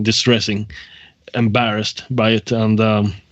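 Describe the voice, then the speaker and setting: A man speaks with a Swedish accent. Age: 30s. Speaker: prank call victim. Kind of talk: phone conversation. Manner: halting.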